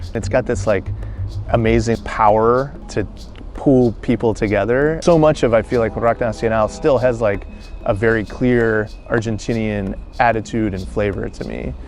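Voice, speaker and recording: Music plays in the background as a man speaks with an American accent. His medium pitch shows ordinary variation at a moderate pace. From North Carolina, USA. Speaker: musician, cellist. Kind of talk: interview answer. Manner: casual, hesitant with fillers.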